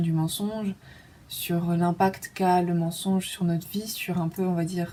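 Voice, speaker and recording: A woman's fairly low-pitched voice, fairly slow in pace, with monotone, flat intonation. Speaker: vlogger. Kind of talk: casual personal monologue. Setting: dark room at home. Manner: hesitant, many fillers; intimate, low-key.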